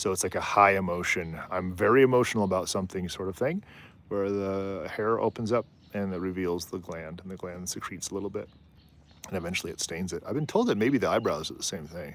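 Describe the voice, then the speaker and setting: Speaking at a very fast pace, a man uses a fairly low pitch with ordinary pitch variation. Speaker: wildlife livestreamer. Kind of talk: casual live stream commentary. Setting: outdoors on a rooftop. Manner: animated, conversational.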